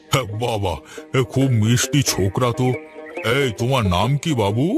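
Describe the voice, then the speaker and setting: Over clear music in the background, a man performs a cartoonish character voice at a medium pitch and moderate pace. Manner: gentle, affectionate.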